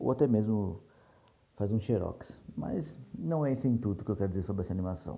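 A man talks at a fairly quick pace with lively intonation. His pitch is fairly low and his tone dark and mellow. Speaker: podcast host, series reviewer. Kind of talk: casual solo review monologue.

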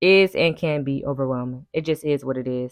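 A woman at a fairly slow pace, dry and close with no echo. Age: 20s. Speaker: podcast host. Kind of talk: casual chat. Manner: unedited, conversational.

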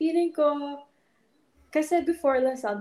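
A woman's dark, mellow tone. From Philippines. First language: Ilonggo. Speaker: retired volleyball player, fashion student. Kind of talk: casual interview chat, Taglish. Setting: podcast studio.

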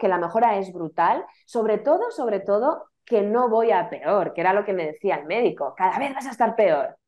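The woman's voice is fairly high in pitch. She talks at a fairly slow pace. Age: 30s. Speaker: author recovering from chronic illness. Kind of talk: testimony. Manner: hesitant, repeating words.

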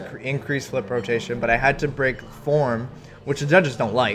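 Over noticeable background noise, a man with a Canadian accent talks at a fairly quick pace. His pitch is medium, with ordinary variation. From Canada, Ontario (Milton). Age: 20s. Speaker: freestyle skier, Olympic athlete. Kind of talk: interview. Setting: coffee shop.

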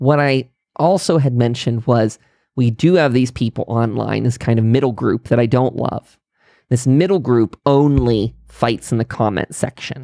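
This voice, with an American accent and a dark, mellow tone, holds a very even loudness at a moderate pace, with ordinary pitch variation and a dry, close sound with no echo. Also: man, medium pitch for a man. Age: 30s. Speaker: political podcaster. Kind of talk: monologue commentary.

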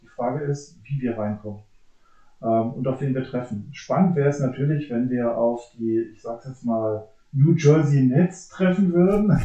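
Speaking at a moderate pace, a man has a medium pitch and a dark, mellow, somewhat breathy tone. His pitch varies in an ordinary way, while his loudness swings widely. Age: 40s. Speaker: police officer, basketball fan. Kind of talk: casual chat.

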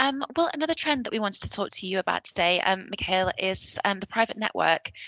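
A woman with a northern English accent talks at a fairly quick pace. Her pitch is medium and her intonation lively. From northern England. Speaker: podcast host. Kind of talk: scripted news roundup and interview.

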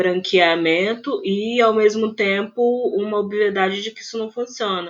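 There is noticeable background noise as a woman speaks. Her pace is moderate and her pitch variation ordinary. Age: 30s. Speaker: film critic and researcher. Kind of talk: casual interview.

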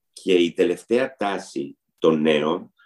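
This man has a dark, mellow tone. His pitch moves with ordinary variation. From Istanbul, Turkey; Greece from age 10. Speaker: pastry chef. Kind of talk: interview.

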